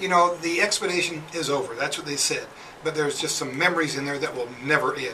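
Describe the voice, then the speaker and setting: Very fast speech from a man at a fairly high pitch, with ordinary pitch variation, audible room echo and noticeable background noise. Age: 60s. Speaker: reality TV contestant, military veteran. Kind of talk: radio interview. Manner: halting.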